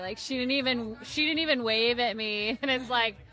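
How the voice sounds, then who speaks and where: Over noticeable background noise, the voice moves at a fairly quick pace with ordinary pitch variation. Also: woman. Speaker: twin guest. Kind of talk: casual chat. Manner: loud.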